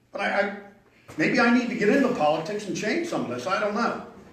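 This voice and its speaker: Amid noticeable background noise and audible room echo, a man with a high pitch speaks fairly quickly with lively intonation. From Pennsylvania, US. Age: 70s. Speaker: local resident speaking at public hearing. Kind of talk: public comment at zoning hearing. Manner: halting, repeats words.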